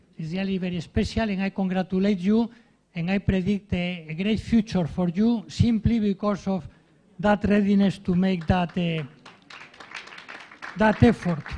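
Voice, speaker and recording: Over crowd noise, a high-pitched man with a strong Spanish accent talks at a moderate pace, pausing long and often. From Spain. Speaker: professor of ethics. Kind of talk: speech at a ceremony. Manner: halting, with repeated fillers.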